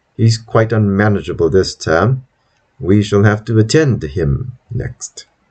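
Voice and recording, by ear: The background stays quiet while someone reads aloud in a natural voice.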